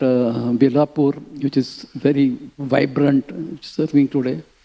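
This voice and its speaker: Fairly even in intonation, a man's fairly high voice has a dark, mellow tone. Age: 80s+. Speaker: spiritual teacher. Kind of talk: scripture class. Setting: temple. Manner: halting.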